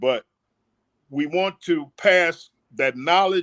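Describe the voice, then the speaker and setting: A man with an American accent at a fairly high pitch, dry and close with no echo, over a quiet background. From New Orleans, Louisiana (Ninth Ward). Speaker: community elder. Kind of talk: interview.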